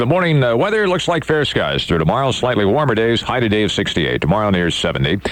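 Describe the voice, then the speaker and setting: Noticeable background noise sits behind a man with an American accent. His pitch swings very widely. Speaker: radio disc jockey. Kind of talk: morning radio show host patter. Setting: radio studio broadcast. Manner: upbeat, fast, chatty.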